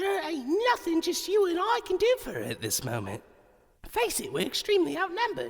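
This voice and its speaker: Putting on a character voice, a man goes extremely high in pitch. His pace is moderate. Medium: audio drama. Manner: blunt, swearing, calls others mate.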